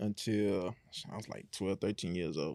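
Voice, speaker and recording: Delivered at a fairly quick pace, a man's speech carries an American accent. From Houston area, Texas. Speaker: custom shoe artist, guest. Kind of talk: casual interview.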